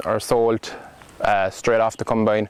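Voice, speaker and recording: In a Cork accent, a man talks at a moderate pace and medium pitch amid noticeable background noise. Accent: Cork Irish. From Ireland, County Cork. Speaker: farm intern. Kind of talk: interview. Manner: halting.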